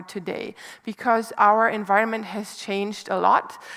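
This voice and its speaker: With a German accent, a woman speaks at a moderate pace and a fairly high pitch. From Germany, small mining town. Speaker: environmental institute director, speaker. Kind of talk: public lecture. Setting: lecture stage with audience.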